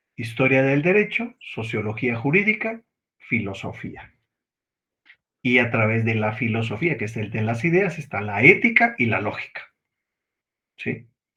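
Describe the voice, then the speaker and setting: Lively intonation marks this man's medium-pitched voice. He speaks at a fairly slow pace with long, frequent pauses. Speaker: law lecturer. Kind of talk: lecture.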